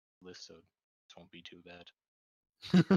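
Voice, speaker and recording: Very deep, low-pitched put-on character voice from a man. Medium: actual play.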